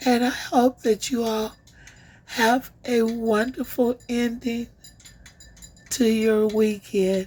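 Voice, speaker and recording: A woman's fairly high, warm voice in a monotone, flat delivery, very slow, with long, frequent pauses. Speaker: online commentary channel host. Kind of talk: casual update to viewers. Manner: warm, affectionate.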